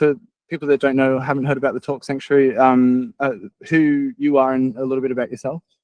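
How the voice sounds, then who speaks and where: A man with an Australian accent talks at a fairly high pitch, the sound dry and close with no echo. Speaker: podcast host. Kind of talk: casual chat. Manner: halting, many fillers.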